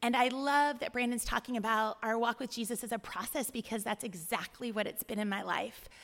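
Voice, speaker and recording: Speaking with an American accent at a fairly quick pace with hardly any pauses, this is an unremarkable speaking voice with fairly even intonation. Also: woman, fairly high pitch for a woman. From California, Bay Area. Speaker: church deacon. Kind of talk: testimony.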